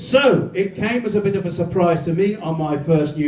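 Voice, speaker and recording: At a moderate pace, a man talks with ordinary pitch variation over noticeable background noise and audible room echo. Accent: English. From England. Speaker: comedian. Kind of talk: stand-up.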